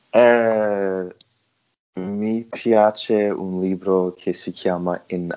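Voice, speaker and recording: A man's very deep, low voice with a non-native accent and fairly even intonation. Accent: foreign-accented Italian. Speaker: podcast host. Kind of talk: casual interview. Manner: halting, hesitant.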